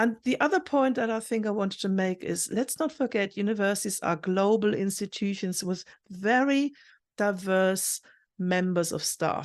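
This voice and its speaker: With ordinary variation in her medium pitch, a woman talks at a moderate pace. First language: not English. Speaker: university recruitment professional. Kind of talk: interview.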